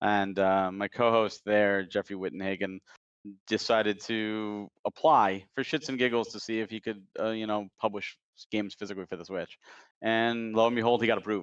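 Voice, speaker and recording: Over a quiet background with a dry, close sound and no echo, a man uses a normal speaking voice at fairly low pitch, moderate pace and fairly even intonation. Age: 40s. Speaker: indie game publisher. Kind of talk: casual chat.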